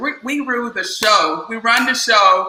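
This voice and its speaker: A woman talks in a Southern US accent with ordinary pitch variation. Audible room echo surrounds her voice. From US South, South Carolina. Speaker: business organization founder. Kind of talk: interview.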